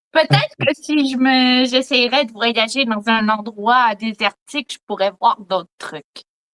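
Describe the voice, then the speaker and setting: A woman with a Quebec accent speaks very slowly, her fairly high voice rising and falling in an ordinary way. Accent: Quebec French, clear. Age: 20s. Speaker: eyewitness. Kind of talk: testimony. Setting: video call.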